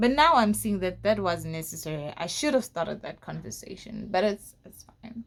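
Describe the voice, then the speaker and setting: Over noticeable background noise, a woman with a medium pitch talks at a moderate pace, her intonation lively and her loudness swinging widely. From South Africa, Mpumalanga (Bushbuckridge). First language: a South African home language. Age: 20s. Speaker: YouTuber. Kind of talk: storytelling vlog. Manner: casual, halting.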